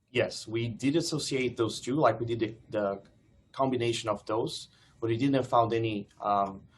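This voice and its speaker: At a moderate pace, a man speaks with a medium pitch and fairly even intonation. His voice is somewhat breathy. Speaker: PhD student presenter. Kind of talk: seminar Q&A.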